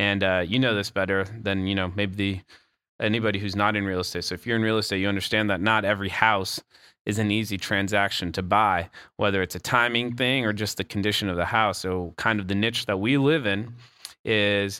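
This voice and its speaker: On a very clean recording with a silent background, a man speaks at a fairly quick pace in a fairly low pitch, with a bright, sharp tone and fairly even intonation. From Colombia (Bogota). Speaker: real estate investor. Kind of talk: interview conversation.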